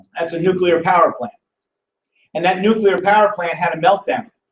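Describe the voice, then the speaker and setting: The voice belongs to a man. It sits at a high pitch. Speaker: business presenter, former mayor. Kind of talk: live business presentation. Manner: fast; animated.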